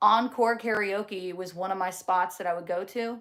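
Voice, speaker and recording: An animated woman speaks in a New Jersey accent. She keeps a moderate pace with ordinary pitch variation. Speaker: livestreamer. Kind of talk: casual chat reading live comments.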